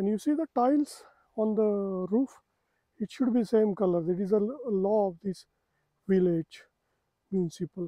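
With a high pitch and ordinary pitch variation, a man speaks at a moderate pace, leaving long, frequent pauses, in a dry, close sound with no echo. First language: Marathi. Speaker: travel vlogger. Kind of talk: casual walking vlog. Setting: outdoors.

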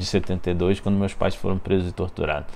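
A man with a fairly low-pitched voice. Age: 40s. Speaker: investigative journalist. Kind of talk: interview monologue. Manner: hesitant, many fillers. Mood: serious, measured. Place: office.

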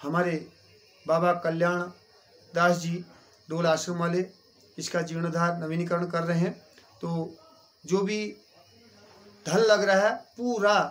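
The speaker's intonation stays fairly even, broken by long, frequent pauses. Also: man, high pitch for a man. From Uttarakhand. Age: 40s. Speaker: temple priest. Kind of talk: interview. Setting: outdoors at a temple. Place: home room. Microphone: phone near.

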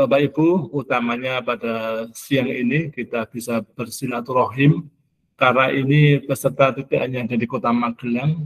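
A man talks at a moderate pace, and his intonation stays fairly even. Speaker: school supervisor giving welcome speech; webinar host or speaker. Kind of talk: formal webinar welcome speech. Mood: warm, welcoming.

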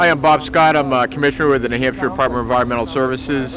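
Fairly even intonation comes through a dry sound with no echo, with noticeable background noise behind it. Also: man. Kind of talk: interview statement. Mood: appreciative, formal. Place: factory.

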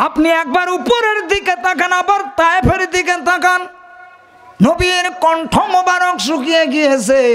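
Over light background noise, a man with an extremely high pitch uses a raised, projected voice, an animated tone and ordinary pitch variation. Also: very even loudness. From Bangladesh. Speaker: Islamic preacher. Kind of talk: sermon. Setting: stage with audience. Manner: loud. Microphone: podium.

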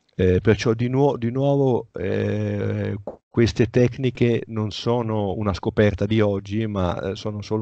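Against a quiet background, a man with a dark, mellow tone and fairly low pitch talks at a fairly slow pace with fairly even intonation, the sound dry with no echo. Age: 60s. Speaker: author; interviewee. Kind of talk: interview. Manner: halting. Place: home room. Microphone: headset.

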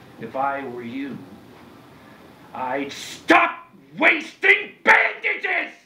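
A man uses a put-on character voice at a very slow pace. Long, frequent pauses break up his speech, and there is audible echo. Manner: menacing, threatening.

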